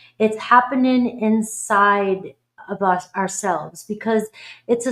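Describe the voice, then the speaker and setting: With an American accent, a woman at medium pitch talks at a fairly slow pace with ordinary pitch variation. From Boston, US. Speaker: tarot reader. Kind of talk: live stream reading chat. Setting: live stream. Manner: animated.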